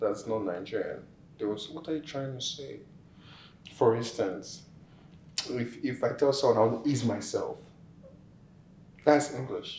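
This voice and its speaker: Audible room echo surrounds a speaking man. His pitch varies in an ordinary way. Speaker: immigrant interviewee. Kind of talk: interview.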